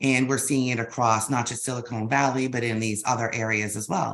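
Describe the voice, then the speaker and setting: Speaking with a Boston accent, a woman has a very deep, low pitch. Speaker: business intelligence executive. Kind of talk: webinar interview.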